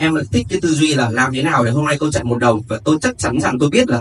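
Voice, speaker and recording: A man at a very fast pace over light background noise. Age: 20s. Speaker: student of an online marketing course. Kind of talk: testimony. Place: hall.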